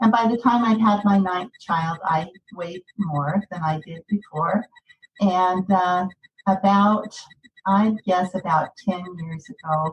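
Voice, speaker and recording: A woman speaks very slowly in a medium pitch, somewhat breathy, with fairly even intonation. Her loudness swings widely. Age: 60s. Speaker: weight loss course participant. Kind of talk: personal testimony in podcast interview. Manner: halting.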